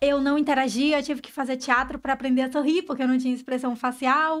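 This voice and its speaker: A woman speaks in a high pitch. She keeps a fairly quick pace. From Bahia, Brazil (Itabuna). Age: 30s. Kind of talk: podcast interview.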